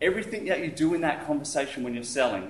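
Speaking at a fairly quick pace and a fairly high pitch, a man is heard with audible room echo and light background noise. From Australia. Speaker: entrepreneur giving business talk. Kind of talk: presentation to audience. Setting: stage with audience. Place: hall.

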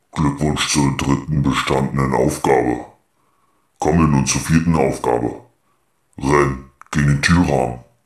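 A man's very deep, low voice at a moderate pace, with long, frequent pauses and a slight echo. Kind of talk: game announcement. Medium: comedy sketch. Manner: formal, announcer-like, polite but cold.

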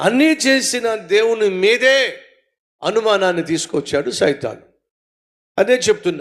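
This man's voice sits at a high pitch and has lively intonation. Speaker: pastor. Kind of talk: sermon.

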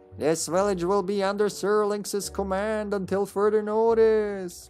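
Someone performs a put-on character voice at a moderate pace. Faint music plays in the background. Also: man, high pitch for a man. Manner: eerie.

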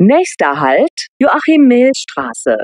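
The pace is very slow. The sound is dry and close, with no echo. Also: woman. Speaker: public transport announcer. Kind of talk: train station announcements. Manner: clear, neutral, measured.

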